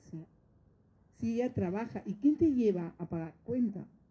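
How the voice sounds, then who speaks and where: A woman with a medium pitch and a dark, mellow, somewhat breathy tone speaks at a fairly slow pace with very wide pitch swings. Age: 60s. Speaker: notary. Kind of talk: course lecture talk. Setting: training course with audience of judges.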